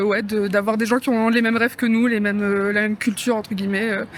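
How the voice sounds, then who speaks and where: The voice moves at a fairly quick pace amid noticeable background noise. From northern France. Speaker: passerby in street interview. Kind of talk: vox pop. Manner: hesitant, many fillers.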